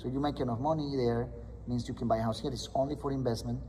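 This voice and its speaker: There is audible room echo around this man's voice. He talks very fast with a Spanish accent. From Colombia. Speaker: loan officer. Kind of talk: interview explaining mortgage options. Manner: hesitant with fillers and restarts.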